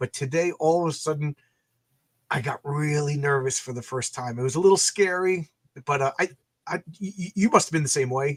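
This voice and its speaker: A man speaks at a fairly quick pace in a fairly high, somewhat breathy voice with ordinary pitch variation. Long, frequent pauses break up his speech, and the sound is dry and close with no echo. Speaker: comic book creator and YouTuber. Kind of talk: casual interview. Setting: live video call. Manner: halting, many repeated words.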